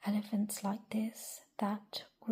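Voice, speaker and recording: The words come out as a whisper at a very slow pace. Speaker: ASMR creator. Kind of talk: read-aloud children's story. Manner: whispered.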